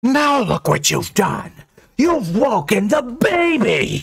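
Putting on a character voice, a man pushes his pitch extremely high and makes big swings. He talks at a slow pace with vocal fry and a slightly husky edge.

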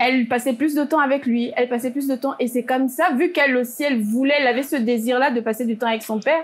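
With a high pitch and fairly even intonation, a woman speaks at a fairly quick pace. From Gabon. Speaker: panelist. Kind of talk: panel discussion. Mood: serious, calm. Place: studio. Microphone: lapel.

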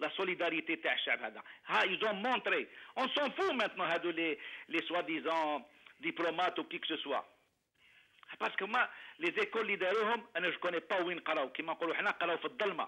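Delivery comes at a fairly quick pace. Its intonation stays lively. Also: man, high pitch for a man. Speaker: caller. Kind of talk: phone-in comment.

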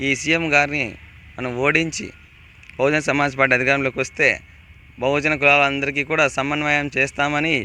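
A man speaks in a fairly high voice, monotone and flat in intonation from start to finish. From Anantapur district, Andhra Pradesh. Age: 20s. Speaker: assembly election candidate. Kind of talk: interview.

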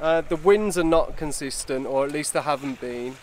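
A man speaks at a moderate pace with ordinary pitch variation, his voice dry with no echo over light background noise. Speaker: sailing vlogger. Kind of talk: casual vlog chat. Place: boat. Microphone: phone near.

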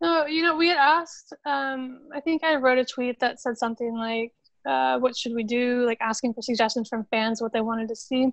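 Speaking at a moderate pace with an American accent, a woman uses a high pitch and ordinary pitch variation. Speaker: football club social media manager. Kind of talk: interview.

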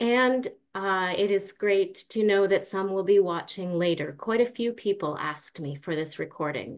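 A woman talks at a moderate pace. Her pitch variation is ordinary. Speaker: webinar moderator. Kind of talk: moderating a webinar. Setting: video call. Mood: warm, welcoming. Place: home room. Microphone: video call.

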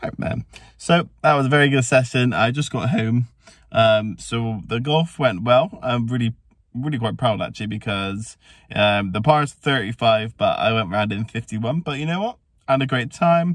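A man at a moderate pace with ordinary pitch variation, a quiet background and a dry sound with no echo. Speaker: family vlogger. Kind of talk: casual vlog chat. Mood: cheerful, relaxed. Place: car. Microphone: phone near.

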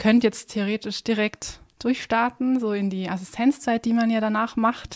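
A woman with a fairly high pitch has a plain, everyday voice, speaking at a fairly slow pace with fairly even intonation. The sound is dry and close with no echo, in a very clean recording against a silent background. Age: 20s. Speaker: dentist. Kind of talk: casual chat.

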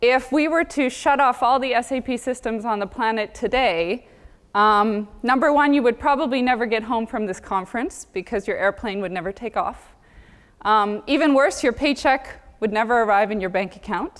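A woman's pitch varies in an ordinary way as she speaks at a moderate pace. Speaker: conference keynote speaker. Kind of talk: conference talk. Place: stage.

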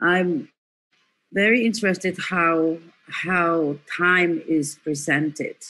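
With a bright, sharp tone and fairly low pitch, a woman speaks very slowly with long, frequent pauses and ordinary pitch variation. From Indonesia (Solo). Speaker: performance artist. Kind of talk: artist talk. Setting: video call. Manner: slow, halting. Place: home room. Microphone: video call.

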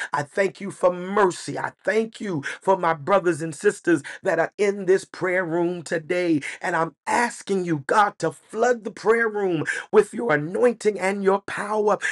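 A man's high voice in an American accent, at a fairly slow pace with ordinary pitch variation, over a quiet background. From United States. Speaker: pastor. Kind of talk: church prayer, spoken aloud to the congregation. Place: home room. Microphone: webcam.

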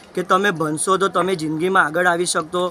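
A man's raised, projected voice over faint music in the background. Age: 20s. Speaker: student running a charity foundation. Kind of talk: news interview. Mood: earnest, explanatory. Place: street.

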